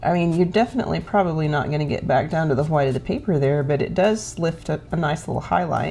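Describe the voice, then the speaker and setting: With an Oklahoma accent, a woman speaks in a very deep, low voice with ordinary pitch variation, very fast and with hardly any pauses, over music in the background. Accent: Oklahoma country. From Oklahoma, US. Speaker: painter. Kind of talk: tutorial. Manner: casual, conversational.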